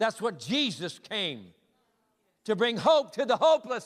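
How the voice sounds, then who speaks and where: A fairly slow delivery with an American accent. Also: man. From US Midwest, Michigan. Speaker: visiting evangelist preacher. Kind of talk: sermon. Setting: church. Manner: animated.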